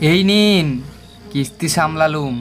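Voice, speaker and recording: The speaker uses a put-on character voice with a nasal sound. Clear music plays in the background. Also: man. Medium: audio drama.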